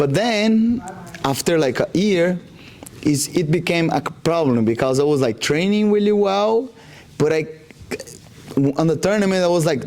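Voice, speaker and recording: Over noticeable background noise, the speaker moves at a moderate pace with lively intonation, very even loudness and long, frequent pauses. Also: man, high pitch for a man. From Brazil, Rondônia. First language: Portuguese. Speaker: jiu-jitsu athlete. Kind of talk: interview. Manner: halting, many fillers.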